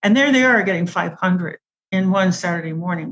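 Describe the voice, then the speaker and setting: This woman's voice is somewhat breathy and sits at a medium pitch. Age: 70s. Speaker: food addiction expert. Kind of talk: interview.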